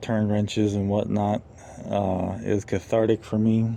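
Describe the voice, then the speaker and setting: At a fairly slow pace, a man talks in a fairly low voice. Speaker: vlogger and parent. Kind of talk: casual vlog tutorial. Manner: halting with stutters and fillers.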